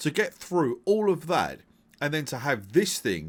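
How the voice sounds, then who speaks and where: In a very clean recording with a silent background, a man talks with an English accent and vocal fry. His pitch is fairly high and his pace fairly slow. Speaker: gaming video creator. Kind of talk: gaming commentary. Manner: casual, conversational; hesitant, stuttering at times.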